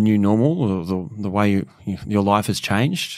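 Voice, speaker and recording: The recording is very clean, with a silent background. A man of medium pitch speaks with an Australian accent. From Sydney, Australia. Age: 30s. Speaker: podcast host. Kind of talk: interview.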